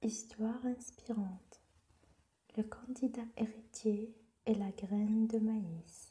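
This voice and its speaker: Soft-spoken and very slow, the speaker leaves long, frequent pauses. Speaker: storyteller. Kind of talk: sleep story.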